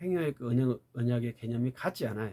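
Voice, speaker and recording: Lively in intonation and fairly quick in pace, a man speaks with a dark, mellow tone. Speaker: theology lecturer. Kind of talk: lecture.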